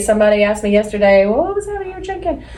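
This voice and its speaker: A woman with an American accent speaks in a fairly high voice with lively intonation over noticeable background noise. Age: 40s. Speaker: podcast co-host. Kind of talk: casual chat. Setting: office studio.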